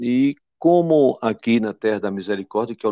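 A man speaks at a moderate pace over a quiet background. The sound is dry and close, with no echo. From Pernambuco, Brazil (Belo Jardim). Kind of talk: interview.

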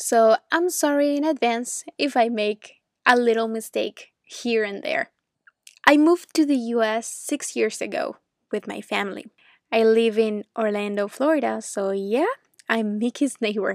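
In a fairly high voice with a Venezuelan accent, a woman speaks fairly slowly with ordinary pitch variation. The sound is dry and close, with no echo. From Venezuela (Caracas). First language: Spanish. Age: 20s. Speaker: English teacher. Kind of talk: educational podcast monologue for learners. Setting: at home. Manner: clear, learner-friendly with simple explanations.

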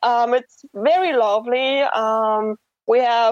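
Dry and close with no echo, a woman's high-pitched voice carries a German accent and ordinary pitch variation. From Germany. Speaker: guest, expat worker. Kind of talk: casual chat. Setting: phone call. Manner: hesitant.

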